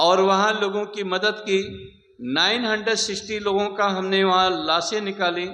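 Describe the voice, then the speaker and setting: In a raised, projected voice with a bright, sharp tone, a man talks with hardly any pauses amid audible room echo. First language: not Hindi; learned Hindi later (speaking Hindi). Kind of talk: speech to a camp audience.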